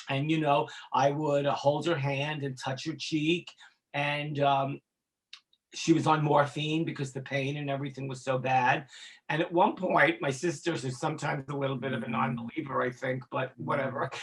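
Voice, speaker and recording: This man has a fairly high, somewhat breathy voice. He speaks at a moderate pace with monotone, flat intonation. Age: 60s. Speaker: former music industry executive in addiction recovery. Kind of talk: interview testimony. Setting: podcast interview. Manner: halting, with repetitions and fillers.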